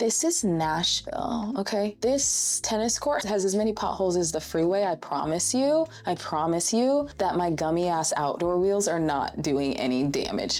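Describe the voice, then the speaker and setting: A woman with an American accent and a fairly low pitch, very wide pitch swings, very even loudness, a moderate pace, hardly any pauses, and noticeable background noise. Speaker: roller skating instructor and content creator. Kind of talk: casual talk to camera, tutorial. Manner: warm, chatty, expressive, humorous.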